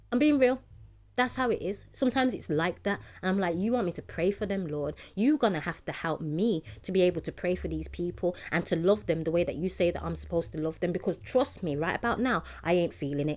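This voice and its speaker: A woman talking at a very fast pace, with an animated tone, lively intonation and vocal fry. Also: fairly low pitch for a woman. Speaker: ministry preacher. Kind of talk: informal sermon.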